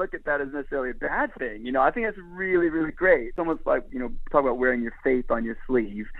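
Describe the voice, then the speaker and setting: A very fast-talking man with an American accent and a fairly high pitch. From Florida, US; teenage years in Jerusalem. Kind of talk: interview.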